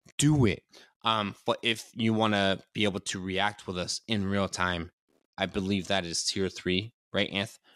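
A man with an unremarkable speaking voice talks fairly slowly at a fairly low pitch, keeping his intonation fairly even. The sound is dry and close with no echo, on a very clean recording with a silent background. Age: 30s. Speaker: podcast co-host. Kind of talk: casual chat.

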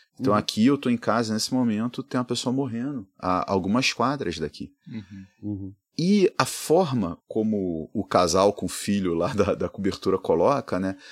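A man's fairly low voice, an unremarkable speaking voice, at a moderate pace with hardly any pauses, in a dry, close sound with no echo. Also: ordinary pitch variation. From Rio de Janeiro, Brazil. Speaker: economics professor, podcast co-host. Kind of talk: casual chat. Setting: at home.

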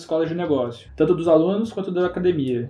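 A man with a high-pitched voice. His tone is dark and mellow. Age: 20s. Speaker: entrepreneur. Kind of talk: casual chat.

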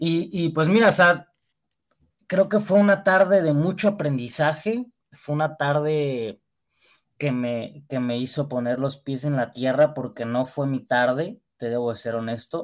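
In a very clean recording with a silent background, a man with a plain, everyday voice speaks at a fairly slow pace, fairly high in pitch, with lively intonation. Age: 20s. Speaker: young bullfighter and event promoter. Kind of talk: casual interview.

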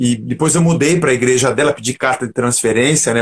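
A somewhat breathy man races along at a very fast pace, his pitch varying in an ordinary way. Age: 50s. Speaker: rock musician and pastor. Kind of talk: casual interview chat.

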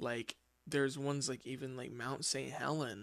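A man with an American accent speaks at a moderate pace in a fairly high pitch with fairly even intonation. He has an unremarkable speaking voice, with a quiet background. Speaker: podcast host. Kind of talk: casual solo monologue. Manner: informal, filler-heavy.

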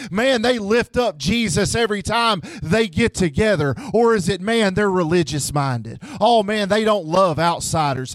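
A man speaks in a high pitch with a Memphis accent at a fairly slow pace. His tone is animated and his intonation lively. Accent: US Southern (Memphis). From Memphis, Tennessee. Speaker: pastor. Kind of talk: sermon. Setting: church.

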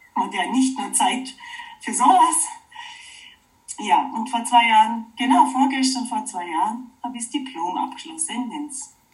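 A woman with a high voice speaks with ordinary pitch variation and big swings in loudness. She leaves long, frequent pauses, and music plays in the background. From Oberallgäu, Bavaria (southern Germany). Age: 40s. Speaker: wood sculptor and permaculture teacher. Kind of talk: interview. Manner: halting, many fillers.

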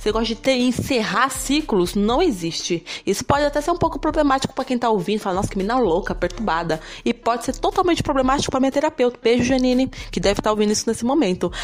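Over noticeable background noise, a woman speaks very fast in a high voice, her pitch swinging very widely while her loudness stays very even. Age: 20s. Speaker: podcast host. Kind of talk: casual monologue. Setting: home room.

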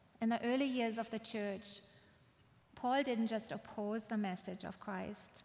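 Somewhat breathy woman's voice, fairly high in pitch, at a fairly slow pace with fairly even intonation. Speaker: guest preacher at church. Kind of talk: sermon. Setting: church with congregation.

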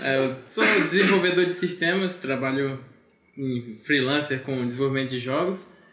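There's audible room echo around this man's fairly high voice. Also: ordinary pitch variation, moderate pace. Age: 20s. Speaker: systems developer and freelance game developer. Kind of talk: casual chat. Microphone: too far from the mic.

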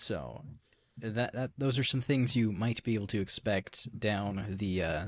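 Male voice with vocal fry and lively intonation on a very clean recording with a silent background. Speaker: podcast host, digital media worker. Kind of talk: casual chat.

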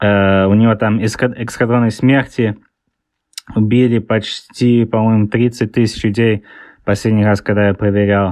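In a quiet background, a man talks at a fairly slow pace with flat, monotone intonation, very even loudness and long, frequent pauses. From England (born in Leningrad, moved around). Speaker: author. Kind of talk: interview. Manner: halting, with many fillers.

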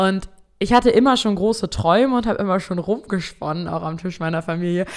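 A woman with an ordinary speaking voice, medium-pitched, with lively intonation at a fairly quick pace. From Germany, East Frisia (Emden). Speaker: podcast host, social selling coach. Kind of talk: solo podcast monologue. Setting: home studio at computer.

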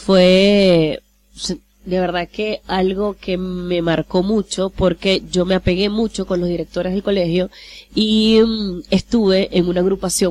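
In an ordinary speaking voice, a woman of medium pitch talks at a fairly slow pace with fairly even intonation, the sound dry and close with no echo. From Venezuela, Maracaibo. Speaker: radio host and journalist. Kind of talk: interview. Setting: studio.

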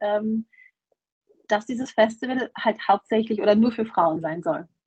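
Somewhat breathy and fairly high-pitched, a woman's voice comes through with a dry, close sound and no echo. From Germany. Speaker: festival organizer. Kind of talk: interview.

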